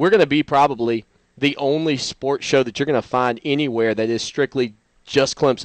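At a moderate pace, a man speaks at medium pitch with fairly even intonation. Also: dry, close sound with no echo.

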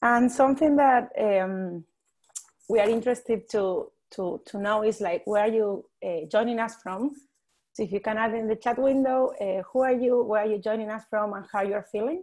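An unremarkable speaking voice from a woman, at a moderate pace with ordinary pitch variation, against a quiet background. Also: fairly high pitch for a woman. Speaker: webinar tech support and co-host. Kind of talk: webinar housekeeping announcements. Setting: video call. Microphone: video call.

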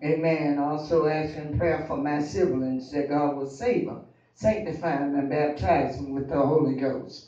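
There is audible room echo as a man talks at a fairly slow pace. His intonation stays fairly even. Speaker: speaker. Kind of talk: prayer testimony. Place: church.

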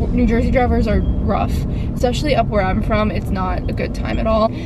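Against loud background noise, a woman talks at a fairly quick pace, the sound dry with no echo. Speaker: vlogger driving. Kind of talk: casual vlog chat. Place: car. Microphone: phone near.

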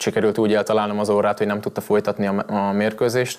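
A man's fairly low voice at a fairly quick pace. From Hungary. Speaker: Muay Thai fighter. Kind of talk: TV studio interview. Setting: TV studio.

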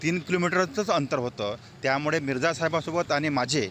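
A man talks in an unremarkable speaking voice, pitched fairly high. The intonation rises and falls in a lively way. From Yavatmal district, Vidarbha. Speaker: author. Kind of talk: tribute interview.

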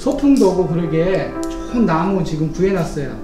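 Clear music plays in the background. A man talks at a moderate pace with a high pitch. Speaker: city mayor. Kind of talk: polite formal talk. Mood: warm, respectful. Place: office. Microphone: camera far.

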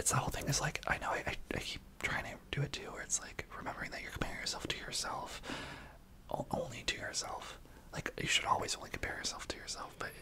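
The voice whispers at a fairly quick pace. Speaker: podcast co-host. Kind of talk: casual podcast conversation. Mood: empathetic, reflective. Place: home room. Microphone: studio mic.

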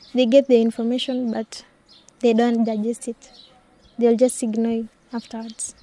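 A woman speaks in a Kenyan accent with a fairly high pitch and monotone, flat intonation. Her pace is moderate with long, frequent pauses, and background noise is noticeable. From Wamba, Kenya. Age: young. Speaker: anti-FGM community activist. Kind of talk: interview answer.

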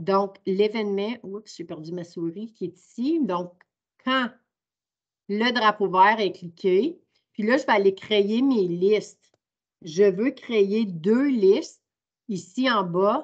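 Speaking at a very slow pace with long, frequent pauses, a woman shows big swings in loudness and ordinary pitch variation against a quiet background. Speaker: teacher. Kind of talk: online training workshop. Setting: video call. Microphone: video call.

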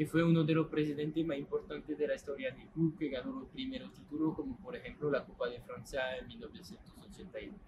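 A man speaks at a fairly quick pace with ordinary pitch variation, light background noise behind him. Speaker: stadium tour guide. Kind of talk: guided tour explanation. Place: stadium.

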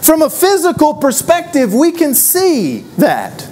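Speaking at a fairly slow pace, a man uses lively intonation. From Texas. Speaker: preacher. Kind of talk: sermon. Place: church. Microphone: lapel.

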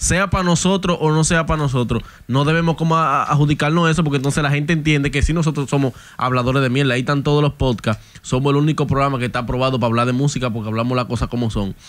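Very fast speech from a man shows ordinary pitch variation. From Dominican Republic. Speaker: podcast co-host. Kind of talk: casual chat. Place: studio. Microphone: studio mic.

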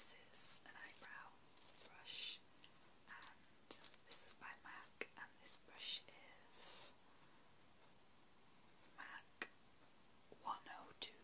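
A woman whispers very slowly, with long pauses coming often. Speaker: ASMR creator. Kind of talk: ASMR roleplay, talking to camera. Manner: soft-spoken, whispering. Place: home room. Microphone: phone near.

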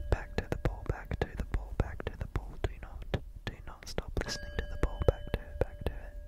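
The speaker is whispering. The pace is fairly quick. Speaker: ASMR creator. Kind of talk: ASMR relaxation video. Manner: whispered.

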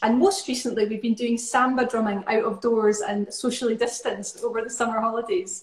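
This woman has a Scottish accent and a fairly high pitch. She talks at a fairly quick pace with hardly any pauses, and the room echo is audible. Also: ordinary pitch variation. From Scotland. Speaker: musician and choir leader; guest. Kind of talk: casual chat. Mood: warm, enthusiastic.

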